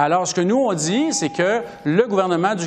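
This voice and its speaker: A man with a high voice talks at a moderate pace with ordinary pitch variation. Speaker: member of parliament. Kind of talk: political debate.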